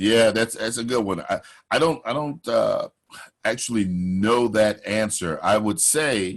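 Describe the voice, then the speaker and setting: With ordinary pitch variation, a man at medium pitch talks fairly slowly. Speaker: voiceover artist and coach. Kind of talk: interview.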